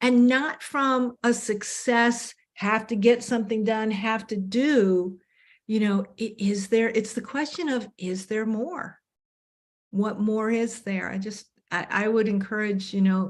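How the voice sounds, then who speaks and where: Talking at a fairly slow pace, a woman with an ordinary speaking voice keeps a fairly high pitch and fairly even intonation. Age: 60s. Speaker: panel guest in discussion. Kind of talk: panel discussion.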